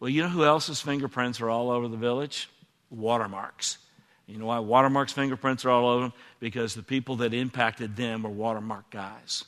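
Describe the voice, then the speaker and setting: A man with an American accent talks at a fairly quick pace in an ordinary speaking voice. His pitch is medium, his intonation fairly even, and the background quiet. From Texas. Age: 60s. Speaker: former church elder. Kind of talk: onstage interview. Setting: church stage with audience.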